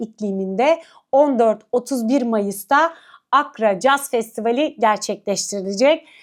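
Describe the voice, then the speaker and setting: The speaker talks at a fairly slow pace with ordinary pitch variation. The recording is very clean, with a silent background. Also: woman. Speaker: culture and arts show host. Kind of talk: event agenda presentation to camera. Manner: many filler hesitations.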